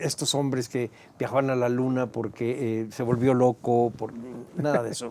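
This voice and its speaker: A man speaks at a moderate pace with a medium pitch. His delivery is flat and monotone over noticeable background noise. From Mexico, Mexico City area. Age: 70s. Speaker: historian and museum director. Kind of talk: interview. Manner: hesitant, with frequent fillers.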